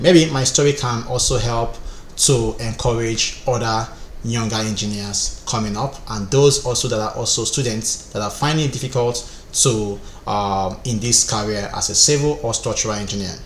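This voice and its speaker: With audible room echo and noticeable background noise, a man speaks at a moderate pace with ordinary pitch variation. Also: medium pitch for a man. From Nigeria, Rivers State. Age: 30s. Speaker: structural engineer and online instructor. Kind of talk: personal life story.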